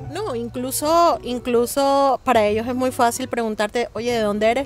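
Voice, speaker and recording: A woman at a fairly high pitch, moderate pace and fairly even intonation, with music in the background. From Colombia, Barranquilla. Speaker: interviewee. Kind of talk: interview.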